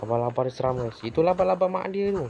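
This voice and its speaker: The voice is quiet and fairly quick. Noticeable background noise runs underneath. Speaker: gaming youtuber. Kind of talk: gameplay commentary. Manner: quiet, subdued.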